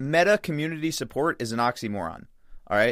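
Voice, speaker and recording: A man with an American accent and a fairly high pitch on a very clean recording with a silent background. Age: 20s. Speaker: jiu-jitsu competitor. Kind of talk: casual chat. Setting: studio.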